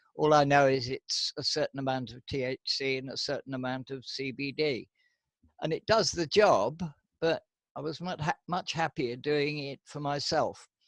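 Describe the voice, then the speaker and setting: On a very clean recording with a silent background and a dry, close sound with no echo, a man speaks at a moderate pace with a fairly high pitch, ordinary pitch variation and big swings in loudness. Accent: British. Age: 80s+. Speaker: medical cannabis patient facing prosecution. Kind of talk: interview.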